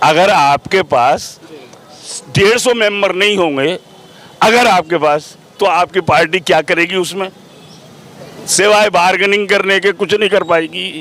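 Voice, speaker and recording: A man's high pitch with ordinary variation, very even loudness and long, frequent pauses, over noticeable background noise. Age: 70s. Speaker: member of the public. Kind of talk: street interview. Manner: animated.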